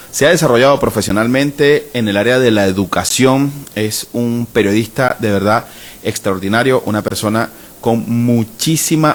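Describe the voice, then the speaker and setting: A man speaks at a fairly slow pace with a medium pitch and ordinary pitch variation, over noticeable background noise. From Venezuela. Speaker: podcast host. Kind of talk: podcast introduction.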